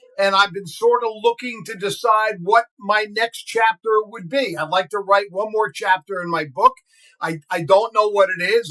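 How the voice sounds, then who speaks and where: A man with an American accent in a raised, projected voice, bright and sharp in tone, with big swings in loudness, hardly any pauses, and a dry, close sound with no echo. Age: 60s. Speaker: radio broadcaster and podcast co-host. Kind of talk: casual chat.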